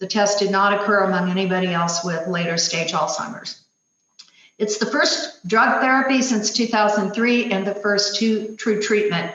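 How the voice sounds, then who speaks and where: A woman speaks in an ordinary speaking voice at a medium pitch. She keeps a moderate pace with ordinary pitch variation. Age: 60s. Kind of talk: presentation.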